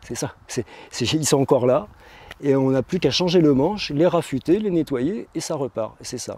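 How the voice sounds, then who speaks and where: The man's voice is fairly high in pitch with a dark, mellow tone, moving at a moderate pace with ordinary pitch variation. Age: 50s. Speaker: tool restorer and market seller. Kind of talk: interview. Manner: hesitant, many fillers and repetitions.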